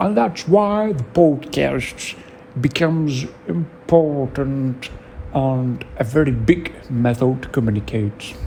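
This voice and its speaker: A man with a non-native accent speaks at a very slow pace in a medium pitch. His intonation is lively, and there is noticeable background noise. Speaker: podcaster. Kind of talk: solo podcast monologue. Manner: halting, searching for words.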